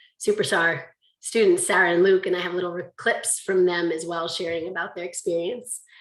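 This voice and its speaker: A woman at a medium pitch talks at a fairly quick pace with lively intonation. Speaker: conference presenter, language teacher. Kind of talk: conference presentation. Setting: video call. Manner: fast; animated.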